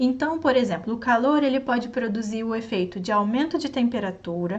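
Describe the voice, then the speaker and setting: Audible room echo surrounds a woman who speaks in a high pitch with a Brazilian accent and lively intonation. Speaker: online science teacher. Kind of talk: sales pitch; lecture. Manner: slow.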